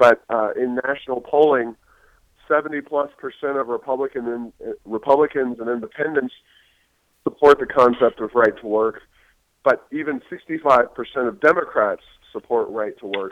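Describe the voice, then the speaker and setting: A man with an American accent has a plain, everyday voice at a medium pitch. He keeps a moderate pace with ordinary pitch variation. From Ohio. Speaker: think tank president. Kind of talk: podcast interview.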